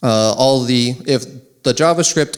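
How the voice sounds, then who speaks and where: A man speaks at a moderate pace with a medium pitch. His pitch variation is ordinary. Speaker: conference speaker. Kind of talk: conference talk. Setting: stage with audience.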